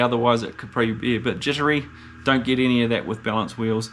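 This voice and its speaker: Against noticeable background noise, the intonation stays fairly level. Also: man. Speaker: motorcycle vlogger. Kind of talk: product review. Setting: indoors. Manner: hesitant, many fillers.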